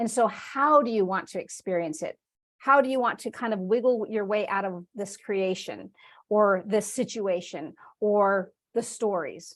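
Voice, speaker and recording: A plain, everyday voice moves at a moderate pace with ordinary pitch variation over a quiet background. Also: woman, medium pitch for a woman. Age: 50s. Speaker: spiritual teacher. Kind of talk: online class. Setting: video call.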